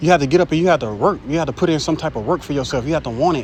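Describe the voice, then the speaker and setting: A man speaks at a very fast pace in a fairly high pitch, with ordinary pitch variation and noticeable background noise. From Jacksonville, Florida, US South. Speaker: street preacher / bible teacher. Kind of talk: informal sermon. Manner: animated.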